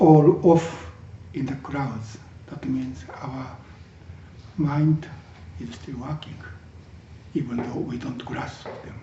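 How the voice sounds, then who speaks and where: A man with a fairly high pitch speaks very slowly, with long, frequent pauses, ordinary pitch variation, big swings in loudness and audible room echo. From Japan. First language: Japanese. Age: 60s. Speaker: Zen teacher. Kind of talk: dharma talk. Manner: halting, with many fillers.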